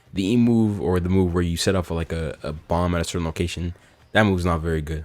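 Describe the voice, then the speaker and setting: A man's very deep, low voice at a very fast pace, with an energetic tone and music in the background. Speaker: gaming YouTuber. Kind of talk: gaming commentary video. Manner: casual, energetic.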